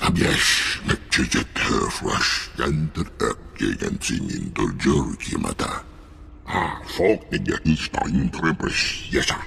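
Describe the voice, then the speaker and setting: A man's growling, put-on character voice at a fairly slow pace, with clear background noise. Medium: video game.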